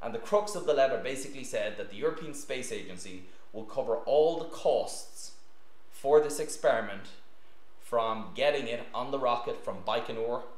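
The voice belongs to a man. The room's echo is audible around him. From Ireland, County Meath. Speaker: physician and scientist giving a talk on astronaut training. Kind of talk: lecture. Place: meeting room.

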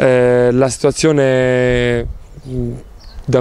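The recording is dry and echo-free. It is a man talking. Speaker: professional volleyball player. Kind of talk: interview. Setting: on camera. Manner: halting. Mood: calm, thoughtful. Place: garden. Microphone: handheld.

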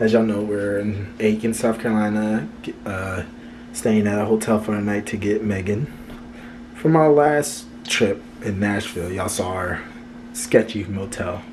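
At a moderate pace, a man with a fairly low pitch talks with ordinary pitch variation and long, frequent pauses over light background noise. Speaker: vlogger. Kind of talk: casual vlog chat. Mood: upbeat, pleased. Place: home room. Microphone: phone near.

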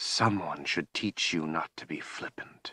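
Putting on a character voice, a man goes very deep and low, rumbling and raspy at a fairly slow pace. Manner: scolding, imperious.

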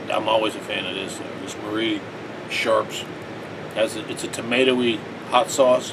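Noticeable background noise sits behind the voice. The man speaks at a moderate pace. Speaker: home food reviewer. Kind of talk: casual vlog chat. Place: home room. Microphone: phone near.

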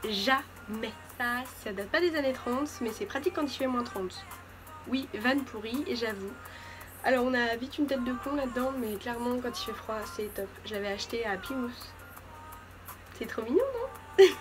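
Music plays in the background as a woman speaks with a high pitch and lively intonation in a playful tone. She leaves long, frequent pauses. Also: moderate pace. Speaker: beauty vlogger. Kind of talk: casual talk to camera, fashion haul. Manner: playful, chatty. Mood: playful, joking. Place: home room. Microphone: phone near.

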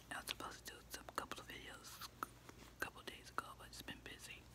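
Whispering at a moderate pace. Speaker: ASMR creator. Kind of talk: casual talk to camera. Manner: soft-spoken. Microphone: phone near.

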